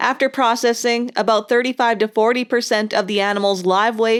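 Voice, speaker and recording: A woman speaks fairly quickly with fairly even intonation in an ordinary speaking voice. The recording is very clean and the background silent. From Upper Michigan. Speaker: outdoor TV show host. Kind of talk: scripted narration.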